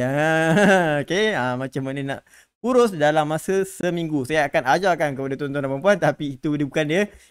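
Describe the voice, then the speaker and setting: Fairly high male voice at a moderate pace, with ordinary pitch variation and a quiet background. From Malaysia. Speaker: stock market educator. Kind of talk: live stream market update. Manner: casual, code-switching with English; many filler words. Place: studio. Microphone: studio mic.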